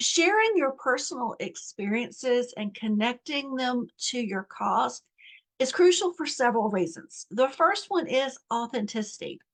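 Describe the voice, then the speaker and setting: A woman's high voice in an American accent, fairly slow, with very wide pitch swings and a dry, close sound with no echo. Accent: Southern US (momentary, self-noted). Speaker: nonprofit coach. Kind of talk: online course lesson. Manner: conversational with fillers.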